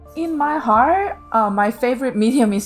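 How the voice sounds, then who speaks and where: A woman with a Korean accent, at a fairly slow pace and with lively intonation. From South Korea. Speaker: visual artist. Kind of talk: interview monologue. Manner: hesitant, many fillers.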